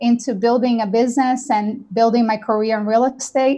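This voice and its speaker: A woman with a high-pitched voice talks at a fairly quick pace. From Brazil. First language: Portuguese. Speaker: real estate company founder. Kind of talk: panel webinar talk.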